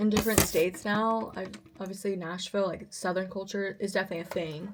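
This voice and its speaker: A woman speaking at a very fast pace amid noticeable background noise. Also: medium pitch for a woman. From Russian-speaking family in the US. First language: Russian. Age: 20s. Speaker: vlogger and singer. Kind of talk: casual vlog talk. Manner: animated.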